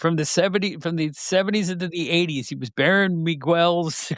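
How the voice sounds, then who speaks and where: In a very clean recording with a silent background, a man with an ordinary speaking voice talks at a moderate pace and a fairly high pitch. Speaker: podcast host and former wrestling magazine editor. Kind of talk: casual podcast conversation about wrestling history.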